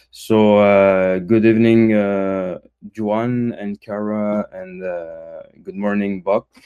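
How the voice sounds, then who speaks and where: In a Quebec accent, a man with a fairly low pitch and a dark, mellow tone speaks at a very slow pace, monotone and flat, with big swings in loudness. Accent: French-Canadian accent in English. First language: French. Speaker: crypto community member. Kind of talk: casual chat. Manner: halting, many fillers.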